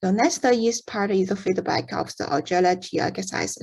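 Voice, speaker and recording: Against a quiet background, a woman with a non-native accent speaks at a moderate pace with ordinary pitch variation. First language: not English. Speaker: university student. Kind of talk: student presentation. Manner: halting.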